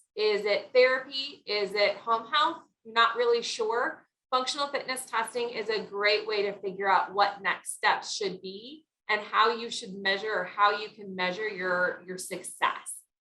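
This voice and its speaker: A woman at a fairly slow pace, bright and sharp in tone, with big swings in loudness. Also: fairly high pitch for a woman, ordinary pitch variation. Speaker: wellness speaker. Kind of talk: presentation.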